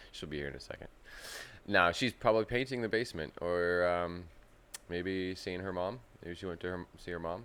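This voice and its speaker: A man talks at a fairly quick pace. His pitch is very deep and low, with ordinary pitch variation. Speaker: aquarium youtuber. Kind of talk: live stream chat. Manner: casual, rambling.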